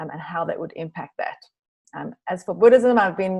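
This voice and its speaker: Against a quiet background, a woman speaks with a South African accent. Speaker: meditation teacher, retreat center co-director. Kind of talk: online class introduction.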